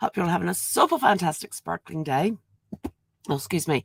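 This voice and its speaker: A woman speaks with vocal fry at a fairly low pitch. Her pitch varies in an ordinary way. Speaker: genealogy vlogger. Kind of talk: casual vlog monologue. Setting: home, live stream. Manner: halting, many fillers.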